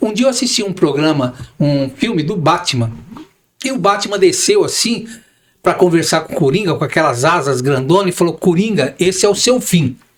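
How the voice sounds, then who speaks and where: This man has a high pitch with very wide pitch swings. He talks at a moderate pace. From Brazil, São Paulo. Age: 60s. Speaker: real estate broker and manager. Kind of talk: podcast interview.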